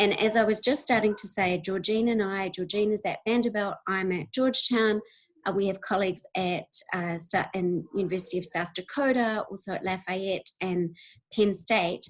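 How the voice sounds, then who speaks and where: Using ordinary pitch variation, a woman with a New Zealand accent speaks at medium pitch and a moderate pace. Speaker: university researcher. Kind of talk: webinar presentation. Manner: hesitant, many fillers.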